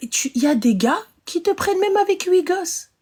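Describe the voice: A woman talks at a fairly quick pace. Her voice is extremely high with a slightly mellow tone.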